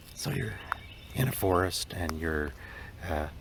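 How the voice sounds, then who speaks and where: Over noticeable background noise, a man with a very deep, low pitch speaks at a very slow pace. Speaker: cancer scientist. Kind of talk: casual talk to camera.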